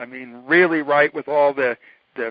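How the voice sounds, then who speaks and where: A normal speaking voice, fairly quick in tempo and fairly even in its intonation. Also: man. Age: 60s. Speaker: electrical researcher. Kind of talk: casual interview. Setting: phone call.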